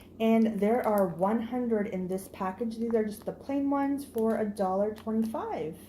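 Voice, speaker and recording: A woman's fairly high-pitched voice with audible room echo. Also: ordinary pitch variation, moderate pace. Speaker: haul vlogger. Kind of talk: product haul video. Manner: animated.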